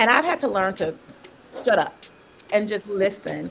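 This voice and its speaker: Speaking at a medium pitch and a moderate pace, a woman uses lively intonation over noticeable background noise. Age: 40s. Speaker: panelist, doctoral student and coach. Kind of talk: casual panel discussion. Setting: online livestream.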